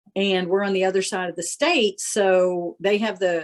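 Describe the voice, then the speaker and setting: With an unremarkable speaking voice, a woman talks at a medium pitch and a fairly slow pace. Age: 60s. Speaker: farmer. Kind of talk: casual chat.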